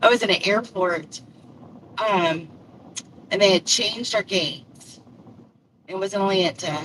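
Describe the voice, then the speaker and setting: Pausing long and often, a woman talks at a fairly slow pace with a medium pitch and ordinary pitch variation over noticeable background noise. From Louisville, Kentucky. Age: old. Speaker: live streamer and delivery driver. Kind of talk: casual chat. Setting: live stream. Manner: rambling, conversational.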